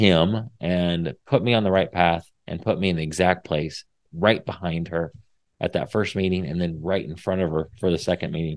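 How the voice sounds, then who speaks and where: A man with a Midwestern US accent talks in a very deep, low pitch, his intonation fairly even. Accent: US Midwest. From Indiana. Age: 40s. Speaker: podcast host. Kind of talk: faith-based encouragement talk. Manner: casual, with many fillers.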